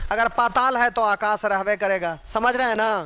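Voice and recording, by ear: With a bright, sharp tone, the speaker keeps a moderate pace and ordinary pitch variation. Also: man.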